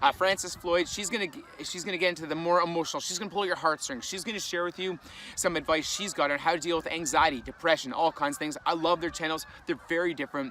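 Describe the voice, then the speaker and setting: Talking at a very fast pace with hardly any pauses, a man with a Canadian accent uses a high pitch and ordinary pitch variation over noticeable background noise. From Canada. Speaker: vlogger and fitness content creator. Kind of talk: casual vlog talk to camera.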